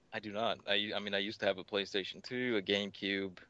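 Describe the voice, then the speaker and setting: Against a quiet background, a man with a Tennessee accent speaks in a fairly low pitch with a bright, sharp tone and fairly even intonation. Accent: Tennessee twang. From US South, Tennessee. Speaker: record-holding gamer. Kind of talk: podcast interview. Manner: casual, repetitive.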